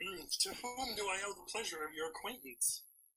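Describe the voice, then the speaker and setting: A man's put-on character voice, high-pitched with lively intonation, big swings in loudness and a moderate pace. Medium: read story. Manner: smarmy, hammy, exaggerated suave.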